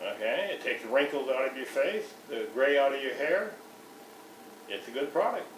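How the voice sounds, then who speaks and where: With long, frequent pauses at a moderate pace, a man speaks amid noticeable background noise and audible room echo. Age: 60s. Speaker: customer giving a product testimonial. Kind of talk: testimony. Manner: halting, with frequent restarts.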